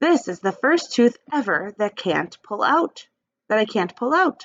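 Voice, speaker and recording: A female-sounding put-on character voice speaks at a high pitch and a moderate pace. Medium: read story. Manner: brash.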